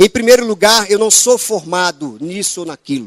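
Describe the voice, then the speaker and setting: With a northeastern Brazilian accent, a man talks at a fairly slow pace and with lively intonation, the sound dry and close with no echo. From Northeast Brazil. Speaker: preacher. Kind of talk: sermon.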